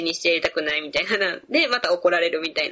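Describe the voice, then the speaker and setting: In a Kansai accent, a woman speaks at a medium pitch. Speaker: physical therapist. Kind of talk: interview conversation.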